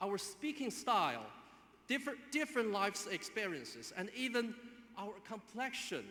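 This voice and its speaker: A man speaks with a Chinese accent. His voice is raised and projected. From China. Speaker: graduate student speaker. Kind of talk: commencement speech. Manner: halting.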